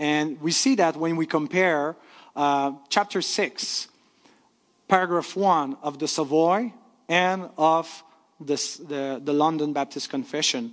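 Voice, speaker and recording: The background stays quiet. A man talks at a very slow pace. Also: fairly high pitch for a man, ordinary pitch variation. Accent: French. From Quebec, Canada. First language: French. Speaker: pastor. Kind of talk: lecture. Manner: halting.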